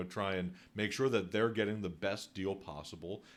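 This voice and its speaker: A normal speaking voice with an American accent, at a moderate pace, with ordinary pitch variation, in a very clean recording over a silent background. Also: man. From Northeast Philadelphia. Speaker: podcast host, real estate agent. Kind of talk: podcast interview.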